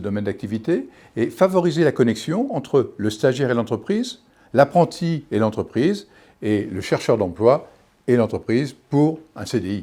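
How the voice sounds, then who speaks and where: A man's dark, mellow voice swings very widely in pitch. The recording is very clean, with a silent background. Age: 60s. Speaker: local election candidate. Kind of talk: campaign statement. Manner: hesitant, with fillers and restarts.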